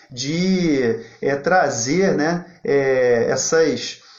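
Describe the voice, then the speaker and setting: Noticeable background noise and audible room echo around a man speaking with ordinary pitch variation. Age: 40s. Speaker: federal public defender. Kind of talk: live online talk. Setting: livestream. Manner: informal.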